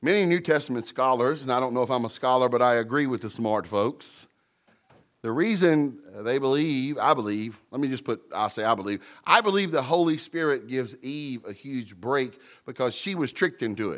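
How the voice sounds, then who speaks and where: A voice with an American accent moves at a fairly quick pace on a very clean recording with a silent background. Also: man, medium pitch for a man, lively intonation. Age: 50s. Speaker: pastor. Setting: church with congregation. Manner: halting restarts and repeated words, fillers like uh and um.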